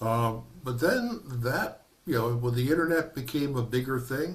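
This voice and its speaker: A man with a somewhat breathy voice goes fairly slowly, his pitch varying in an ordinary way. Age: 70s. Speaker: minister giving a workshop presentation. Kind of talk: lecture.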